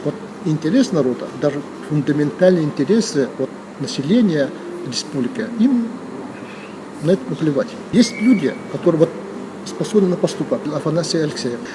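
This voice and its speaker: Against noticeable background noise, a man speaks at a moderate pace in a high pitch with very wide pitch swings and long, frequent pauses. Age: 60s. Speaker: former district head, politician. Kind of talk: interview. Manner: hesitant, with many fillers.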